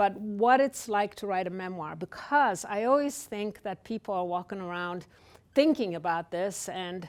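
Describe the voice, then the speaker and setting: The recording is very clean, with a silent background. A woman talks at a moderate pace at a medium pitch with ordinary variation. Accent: Polish. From Poland. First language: Polish. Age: 60s. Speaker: author. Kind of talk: author talk. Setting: library event with live audience.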